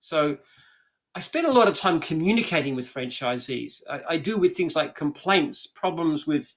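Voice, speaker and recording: With an Australian accent, a man speaks at a moderate pace in a high pitch, his intonation lively. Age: 70s. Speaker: franchise business founder. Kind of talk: interview conversation.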